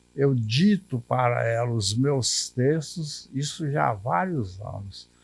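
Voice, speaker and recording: A man's somewhat breathy voice, very slow pace, lively intonation. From Minas Gerais, Brazil (Curvelo region). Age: 80s+. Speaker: retired civil servant and writer. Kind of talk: interview testimony.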